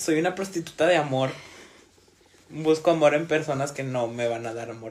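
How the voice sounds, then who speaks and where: Moderate pace, big swings in loudness, long and frequent pauses, and noticeable background noise. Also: man, fairly high pitch for a man, ordinary pitch variation. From northern Mexico. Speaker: podcast co-host. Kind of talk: casual chat. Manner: animated.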